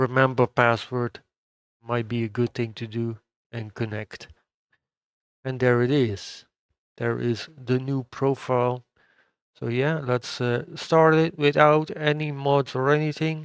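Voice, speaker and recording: Fairly slow, medium-pitched speech from a man with a Dutch accent, fairly even intonation, long, frequent pauses, a quiet background and a dry, close sound with no echo. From Netherlands. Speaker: gaming YouTuber. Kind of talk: gameplay tutorial. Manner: hesitant, many fillers.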